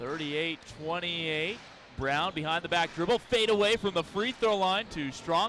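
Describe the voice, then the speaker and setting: A high-pitched man at a moderate pace, ordinary pitch variation, over noticeable background noise. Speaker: sports broadcaster. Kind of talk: radio play-by-play call.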